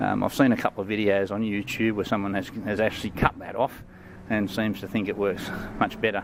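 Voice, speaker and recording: A man with an Australian accent at a moderate pace. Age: 60s. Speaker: product reviewer. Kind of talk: product review. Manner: halting, many fillers.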